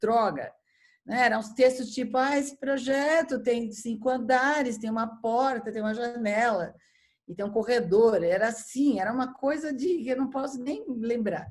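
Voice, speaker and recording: A woman with a São Paulo accent speaks at a moderate pace with a high pitch. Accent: paulista. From São Paulo, Brazil. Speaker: architecture critic and editor. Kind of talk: casual chat. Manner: halting with repeated false starts.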